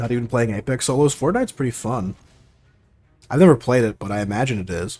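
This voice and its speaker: Quiet and very fast, a man with an American accent uses ordinary pitch variation and takes long, frequent pauses while music plays in the background. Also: medium pitch for a man. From Oregon, US. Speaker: gaming streamer. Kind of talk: casual live-stream chat.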